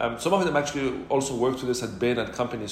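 A man's medium-pitched voice with fairly even intonation, noticeable background noise and audible room echo. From Morocco, Casablanca. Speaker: startup founder. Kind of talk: interview.

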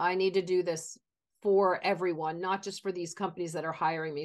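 The speaker has a plain, everyday voice and a moderate pace. The background is quiet. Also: woman. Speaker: podcast host and talent career coach. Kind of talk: interview.

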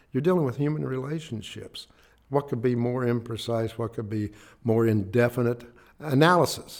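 Speaking at a moderate pace, a man uses a medium pitch with ordinary variation. He has an Appalachian accent. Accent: Appalachian American. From West Virginia, Clay County. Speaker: family court judge. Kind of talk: interview.

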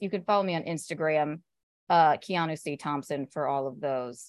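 Moderate pace and ordinary pitch variation with an American accent, in a dry, close sound with no echo. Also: woman. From US South. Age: 30s. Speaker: comedian. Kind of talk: casual chat. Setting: video call.

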